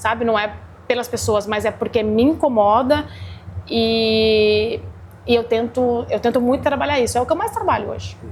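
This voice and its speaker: The speaker is a woman with ordinary pitch variation. Her pace is moderate. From Brazil, interior (Guará). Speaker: chef and restaurant owner. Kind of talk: interview. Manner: energetic, agitated.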